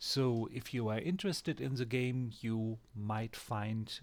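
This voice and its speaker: Recorded very cleanly against a silent background, a man with a German accent speaks very slowly at a medium pitch. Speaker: gaming YouTuber. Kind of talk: game tutorial. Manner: hesitant, with fillers.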